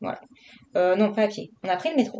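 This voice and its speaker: Moving at a fairly quick pace, a woman speaks with a Marseille accent. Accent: southern French (Marseille). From southern France, Marseille. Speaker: vlogger, adult colouring. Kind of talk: casual vlog chat while colouring. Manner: casual, hesitant with many fillers.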